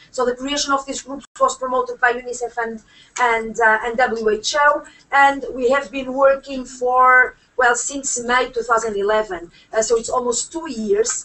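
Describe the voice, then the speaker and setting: Spoken with a Portuguese accent, the voice moves at a moderate pace with fairly even intonation. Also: woman, high pitch for a woman. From Portugal. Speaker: UN human rights expert. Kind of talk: panel speech. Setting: conference room with audience. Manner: halting, many fillers.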